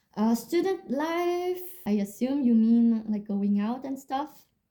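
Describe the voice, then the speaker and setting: A woman talks at a fairly slow pace in a dark, mellow tone that is somewhat breathy. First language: French. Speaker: music student and vlogger. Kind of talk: casual Q&A vlog. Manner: casual, with filler words.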